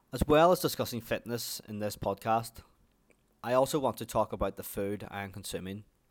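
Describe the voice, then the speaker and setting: A man's medium-pitched voice with an Irish accent, at a fairly quick pace with ordinary pitch variation, on a very clean recording with a silent background. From Ireland. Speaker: podcast host. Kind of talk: scripted-style monologue, personal storytelling.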